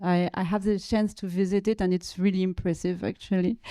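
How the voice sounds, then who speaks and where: A woman with a French accent, medium pitch, fairly even intonation and a dark, mellow tone, in a very clean, dry, close recording with a silent background and no echo. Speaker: panel moderator, curator and researcher. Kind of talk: panel discussion moderation. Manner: halting, many fillers and repetitions.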